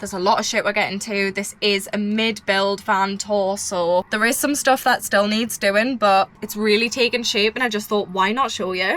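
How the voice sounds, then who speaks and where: A woman at medium pitch, fairly even intonation, hardly any pauses, with noticeable background noise. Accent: British. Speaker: vlogger doing a van build tour. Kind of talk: casual vlog tour. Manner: fast.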